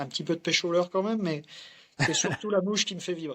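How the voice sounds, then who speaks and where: This man has a high-pitched voice. His intonation stays fairly even. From France, Morvan (Burgundy). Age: 40s. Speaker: fly fisherman. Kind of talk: casual interview. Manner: hesitant, many fillers.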